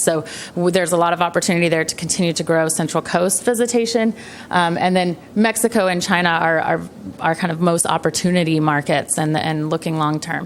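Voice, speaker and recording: Through noticeable background noise, a woman speaks at a very fast pace. Her pitch is fairly low, with ordinary variation. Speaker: county tourism marketing presenter. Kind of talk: presentation at public meeting.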